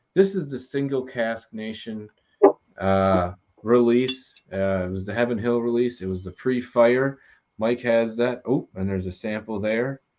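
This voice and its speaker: A man with a plain, everyday voice of medium pitch speaks at a fairly slow pace with ordinary pitch variation against a quiet background. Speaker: whiskey show host. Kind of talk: casual live stream hosting. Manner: upbeat, jokey.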